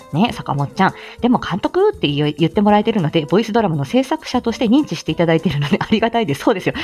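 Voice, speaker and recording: A woman's very fast, lively-inflected speech over noticeable background noise. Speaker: speech-language therapist and voice actor. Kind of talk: casual solo talk. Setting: at home on lunch break, solo recording. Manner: crisp articulation, steady.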